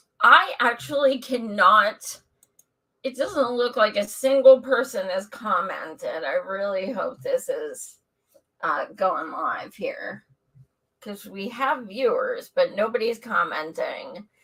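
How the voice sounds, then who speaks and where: A woman puts on a raspy character voice at a high pitch. She speaks at a fairly slow pace with big swings in loudness. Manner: talking weird from a bitten tongue.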